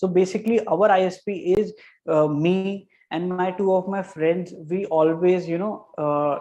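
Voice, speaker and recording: This man's voice is high-pitched with a dark, mellow tone. He has an Indian accent and fairly even intonation. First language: Hindi. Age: 20s. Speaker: graphic designer. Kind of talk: interview. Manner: halting.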